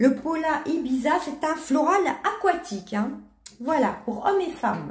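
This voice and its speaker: A woman's extremely high-pitched voice with very wide pitch swings, at a very slow pace, amid audible room echo. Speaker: beauty and perfume youtuber. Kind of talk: product review. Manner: halting, many hesitations.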